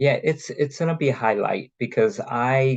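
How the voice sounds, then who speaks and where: Speaking at a moderate pace with an American accent, a man uses a plain, everyday voice with ordinary pitch variation. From New York. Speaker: cruise line representative. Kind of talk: casual chat in online meeting.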